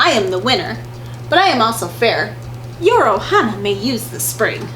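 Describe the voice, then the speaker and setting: A woman puts on a character voice at a moderate pace, with clear background noise behind her. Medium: read story. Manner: calm, steady.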